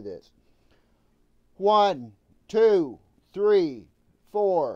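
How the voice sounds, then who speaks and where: A man speaks loudly with lively intonation. His tone is dark and mellow. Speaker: video producer testing audio gear. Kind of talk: technical audio test on a call. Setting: phone call during live stream.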